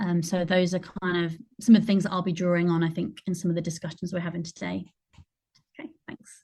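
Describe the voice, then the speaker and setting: A woman's fairly low, somewhat breathy voice with a dark, mellow tone, very fast pace and monotone, flat intonation. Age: 30s. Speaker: performer and theatre maker. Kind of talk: online panel discussion. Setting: video call.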